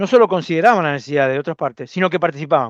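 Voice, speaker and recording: A man with a Rioplatense accent speaks very fast in a fairly high voice with lively intonation, the sound dry and close with no echo over a quiet background. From Argentina, Zárate, Buenos Aires province. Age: 60s. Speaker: preacher. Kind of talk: sermon. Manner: halting, repeats words.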